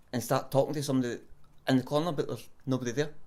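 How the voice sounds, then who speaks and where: Someone with a Scottish accent speaks at a fairly quick pace. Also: man. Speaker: self-described psychic medium. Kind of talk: interview answer.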